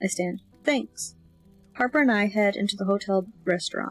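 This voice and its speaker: Music plays in the background as a woman speaks. Her tone is relaxed and her intonation lively. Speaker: amateur audiobook reader. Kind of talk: fiction narration with character dialogue. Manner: relaxed, casual.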